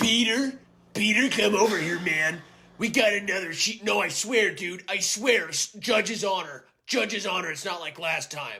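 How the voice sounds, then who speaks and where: In a put-on character voice, raspy and raised to project, the speaker goes at a moderate pace with ordinary pitch variation. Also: man, high pitch for a man. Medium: voice reel. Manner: condescending, bro slang, "little bro".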